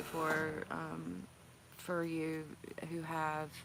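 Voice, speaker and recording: Audible room echo surrounds this recording. A woman speaks at a fairly low pitch. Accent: North Carolina. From North Carolina, near Raleigh. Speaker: healthcare worker and livestream vlogger. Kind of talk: casual livestream chat. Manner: halting, emotional.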